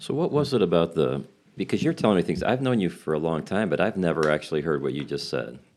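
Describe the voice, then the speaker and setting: Very deep and low, a man's voice rushes at a very fast pace with lively intonation and vocal fry against a quiet background. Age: 60s. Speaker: podcast host and biblical counselor. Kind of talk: podcast interview.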